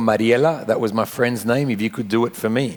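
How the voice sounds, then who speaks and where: A man speaks at a medium pitch with an Australian accent. His intonation stays fairly even. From Australia (Sydney), Argentine family. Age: 40s. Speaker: pastor. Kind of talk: interview testimony.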